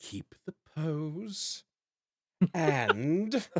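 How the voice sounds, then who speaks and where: A man does a put-on character voice at a fairly high pitch. His pitch swings very widely, and the sound is dry and close with no echo. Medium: actual play. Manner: theatrical, showy.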